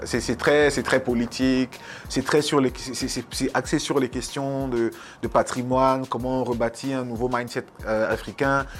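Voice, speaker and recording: A man talks fairly slowly in a medium-pitched voice. His intonation is monotone and flat. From Cameroon, Yaoundé. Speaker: rapper and poet. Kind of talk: casual interview. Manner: halting, repetitive.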